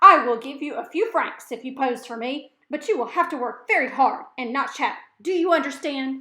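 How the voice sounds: A woman puts on a gruff character voice, high-pitched with lively intonation and big swings in loudness. She keeps a moderate pace with hardly any pauses.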